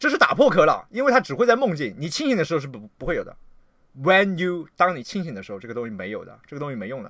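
Over a quiet background with a dry sound and no echo, a man with a high, bright and sharp voice talks at a very fast pace in an animated tone, with very wide pitch swings and big swings in loudness. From China. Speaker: livestreamer and political commentator; livestreamer, political commentator. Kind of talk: livestream rant. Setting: livestream. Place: home room.

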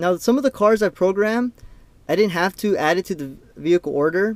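Dry with no echo, the recording has a man talking at a fairly quick pace with ordinary pitch variation. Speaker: car coding demonstrator. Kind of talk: tutorial. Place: car. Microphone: phone near.

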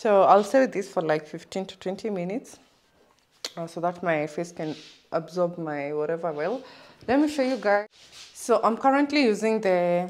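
A woman talks at a moderate pace with lively intonation, big swings in loudness, and long, frequent pauses. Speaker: vlogger. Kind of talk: casual vlog chat. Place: home room. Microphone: phone near.

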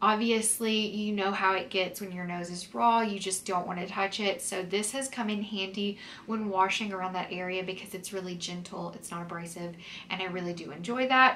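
A woman at medium pitch and moderate pace, fairly bright in tone with fairly even intonation, amid audible room echo

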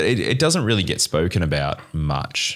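A man with an Australian accent speaks at a moderate pace, his pitch swinging very widely. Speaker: wine podcast host and trained winemaker; wine podcast host. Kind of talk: interview. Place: studio. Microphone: studio mic.

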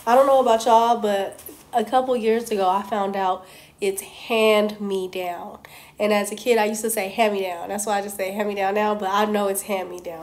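A woman speaks at a fairly quick pace in a flat monotone. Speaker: vlogger. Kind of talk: casual talk to camera. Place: home room. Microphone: phone near.

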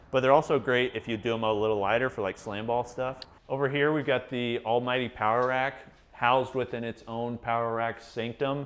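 A man talks at a fairly quick pace in a monotone with flat intonation. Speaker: gym review host. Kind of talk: casual tour commentary. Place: garage. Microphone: lapel.

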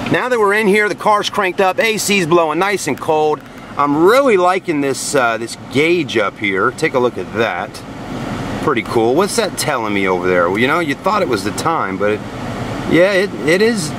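A man at a moderate pace with very wide pitch swings, in a dry sound with no echo and noticeable background noise. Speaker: car sales reviewer. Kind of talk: casual vlog chat. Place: car.

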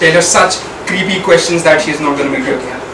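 A man talks while noticeable background noise plays. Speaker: speaker. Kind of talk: humorous prepared speech. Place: meeting room. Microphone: camera far.

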